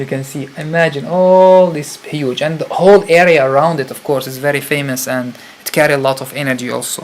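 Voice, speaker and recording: Fairly quick speech in an Arabic accent with hardly any pauses, big swings in loudness and noticeable background noise. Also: man, fairly high pitch for a man. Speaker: spiritual retreat leader. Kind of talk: live stream talk. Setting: live stream. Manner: animated.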